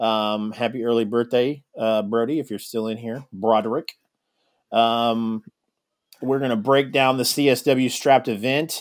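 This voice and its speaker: A man with a plain, everyday voice speaks at a medium pitch and a fairly slow pace, his intonation fairly even. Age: 30s. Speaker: podcast host. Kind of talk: casual chat.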